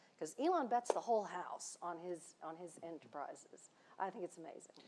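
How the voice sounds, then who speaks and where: There is noticeable background noise behind a woman speaking. Her voice sits fairly low, with ordinary pitch variation. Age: 60s. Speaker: space industry veteran and education leader. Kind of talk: panel discussion. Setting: stage with live audience. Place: stage. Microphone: lapel.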